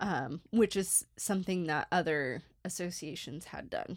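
A woman talks in a normal speaking voice at a medium pitch with ordinary pitch variation and a fairly slow pace. The recording is very clean, with a silent background. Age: 30s. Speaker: archaeology podcast co-host. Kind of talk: casual chat.

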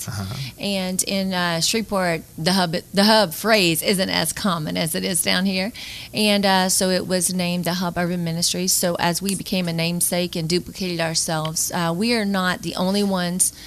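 A woman with a Louisiana accent speaks at a moderate pace, her pitch fairly low. Her intonation stays fairly even, and she hardly pauses at all. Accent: Southern US (Louisiana). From northern Louisiana (Bossier City). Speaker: nonprofit executive director. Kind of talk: radio interview.

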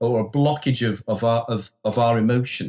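A man is speaking. His voice is somewhat breathy. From Wales. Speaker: psychologist and therapist. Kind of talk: podcast interview. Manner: hesitant, frequent repetitions.

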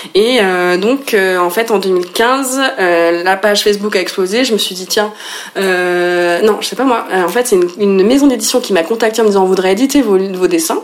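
At a moderate pace, a woman speaks with medium pitch and ordinary pitch variation over noticeable background noise. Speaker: illustrator and author. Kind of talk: interview. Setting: at home.

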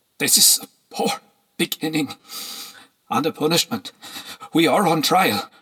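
A man's shaky, put-on character voice, high in pitch, with very wide pitch swings, very even loudness, a moderate pace and long, frequent pauses. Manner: agitated, trembling.

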